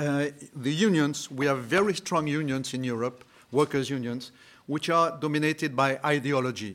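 A man speaks at a fairly slow pace with a French accent. His pitch is fairly high, with ordinary variation. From France. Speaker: entrepreneur. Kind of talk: panel discussion.

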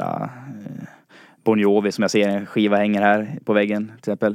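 Recorded dry and close with no echo, a man speaks at a moderate pace. He has a normal speaking voice, fairly low in pitch. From Dalarna, Sweden (Falun). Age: 20s. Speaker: listener, quiz contestant, student. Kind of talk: casual chat. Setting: studio.

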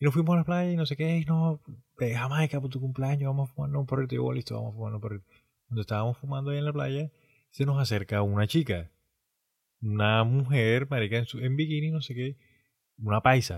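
Background silence marks a very clean recording. The somewhat breathy voice shows ordinary pitch variation. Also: man, medium pitch for a man, fairly quick pace. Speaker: podcast co-host. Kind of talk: casual chat.

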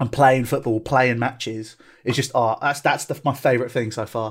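A man with a southern English accent, medium pitch, fairly quick pace and monotone, flat intonation, on a very clean recording with a silent background. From southeast England, Tunbridge Wells. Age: 20s. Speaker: football club owner. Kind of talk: casual chat.

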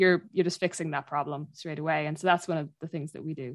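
A woman with a Dublin accent speaks at a fairly quick pace with ordinary pitch variation, in a dry, close sound with no echo. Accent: Dublin Irish. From Ireland, North Dublin. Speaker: woodland charity worker and podcaster. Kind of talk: casual interview.

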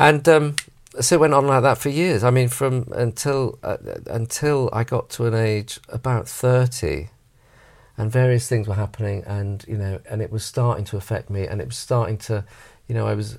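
In a very clean recording with a silent background, a somewhat breathy man speaks at a moderate pace with medium pitch and ordinary pitch variation. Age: 40s. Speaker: actor and director. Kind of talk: casual chat.

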